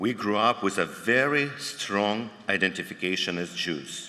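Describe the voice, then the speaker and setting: A man with a fairly low pitch talks very slowly. There is audible room echo. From Ukraine, Dnipro (former Soviet Union). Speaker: cantor, panel moderator. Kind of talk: prepared opening remarks at a conference.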